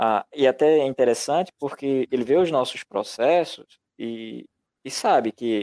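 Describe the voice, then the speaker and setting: At a fairly slow pace, a man speaks in a dark, mellow tone at a medium pitch with ordinary pitch variation, the sound dry and close with no echo. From Brazil, rural interior of Pernambuco. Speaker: publisher and illustrator. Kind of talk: podcast interview. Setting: live stream.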